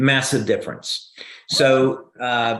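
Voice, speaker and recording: With a New Jersey accent, a man speaks at a fairly slow pace. The background is quiet. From New Jersey, US. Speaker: inventor and company founder. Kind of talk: Q&A on a live video call. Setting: video call. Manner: hesitant, frequent fillers and restarts.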